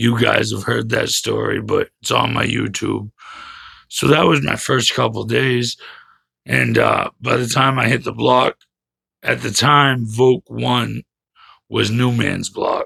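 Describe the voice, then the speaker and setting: A man with an American accent speaks at a very slow pace. The sound is dry and close, with no echo. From New Hampshire, US. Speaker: YouTuber telling own story. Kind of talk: personal storytelling. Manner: casual, profane.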